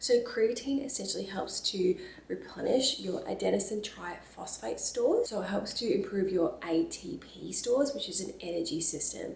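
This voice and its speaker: A woman speaks with hardly any pauses. Her voice carries audible room echo over noticeable background noise. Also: moderate pace. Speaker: lifestyle and fitness vlogger. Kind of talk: casual vlog talk to camera. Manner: soft-spoken.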